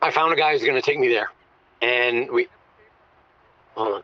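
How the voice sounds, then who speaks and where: A moderately paced put-on character voice with a raspy edge. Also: man, medium pitch for a man. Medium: audio drama.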